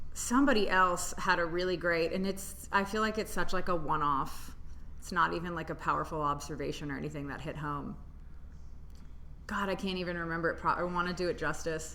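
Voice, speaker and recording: With an American accent, a woman talks at a fairly quick pace in a fairly low pitch, her tone bright and sharp with vocal fry. Audible room echo is present. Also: ordinary pitch variation. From Tennessee, US South. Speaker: stand-up comedian. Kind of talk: casual chat. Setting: comedy club room.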